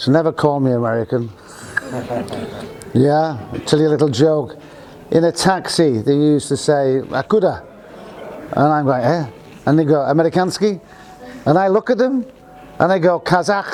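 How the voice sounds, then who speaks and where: With a northern English accent, a man speaks at a fairly high pitch, his intonation lively. He leaves long, frequent pauses over noticeable background noise. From northern England. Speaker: university staff member. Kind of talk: informal talk to students. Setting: business breakfast event with audience. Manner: slow.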